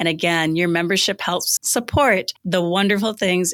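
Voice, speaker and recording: The woman has an ordinary speaking voice, fairly low in pitch, with ordinary pitch variation and a moderate pace. Her recording is very clean, with a silent background. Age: 60s. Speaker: podcast host. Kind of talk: interview.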